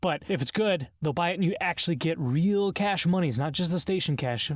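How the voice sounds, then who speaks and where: The speech moves at a fairly quick pace. The recording is very clean, with a silent background. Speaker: gaming podcast co-host. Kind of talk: casual chat. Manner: fast.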